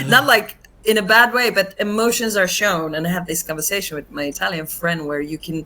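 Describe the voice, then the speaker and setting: Speaking at a fairly quick pace with lively intonation, a woman's medium-pitched voice comes through noticeable background noise. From Finland. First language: not English. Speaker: actress and comedian. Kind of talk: casual interview chat.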